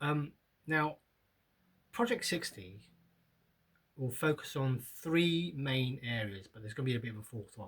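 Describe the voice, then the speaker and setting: With a British accent, a man at medium pitch speaks at a moderate pace, his intonation lively, his loudness swinging widely, and his pauses long and frequent. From UK. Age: 50s. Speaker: vlogger. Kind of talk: casual vlog monologue. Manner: halting, many fillers.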